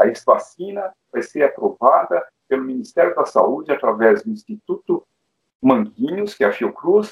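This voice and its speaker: A man speaks at a moderate pace. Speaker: pediatric intensive care doctor. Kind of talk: interview panel discussion. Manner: hesitant with filler sounds.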